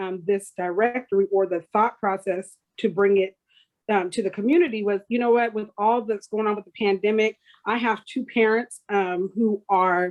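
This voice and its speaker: Speaking with an American accent, a woman keeps a moderate pace. Her fairly high voice shows ordinary pitch variation. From US Northwest (Tacoma, Washington). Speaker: community organizer. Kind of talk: interview.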